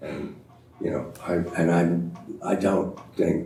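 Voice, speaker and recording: A man with an American accent speaks in a very deep, low pitch. Noticeable background noise and audible room echo fill the recording. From US (California). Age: 60s. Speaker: journalist and author. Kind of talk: panel discussion.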